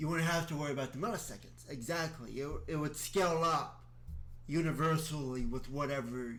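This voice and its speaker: Music plays in the background, and room echo is audible. A man talks at a moderate pace and a fairly high pitch, with ordinary pitch variation. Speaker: video creator explaining a calendar system. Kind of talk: solo explanatory monologue with reading aloud. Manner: halting, with restarts.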